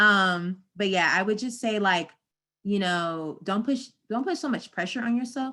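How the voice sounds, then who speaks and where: A woman with an American accent has a bright, sharp tone and a fairly high pitch. The recording is very clean, with a silent background. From US South, North Carolina. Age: 20s. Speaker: marketing professional. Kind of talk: live Q&A stream. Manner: casual, animated.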